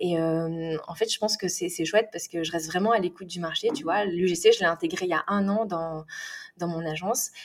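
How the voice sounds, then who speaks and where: Delivered at a moderate pace, the speech holds fairly even intonation. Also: woman, fairly low pitch for a woman. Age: 30s. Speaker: UGC content creator. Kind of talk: casual interview chat. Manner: hesitant, many fillers and repetitions.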